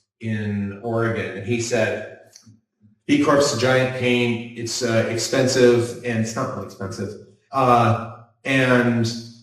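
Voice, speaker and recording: A man talks fairly slowly, and audible room echo follows his words. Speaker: builder running a B Corp construction business. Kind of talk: panel discussion. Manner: animated.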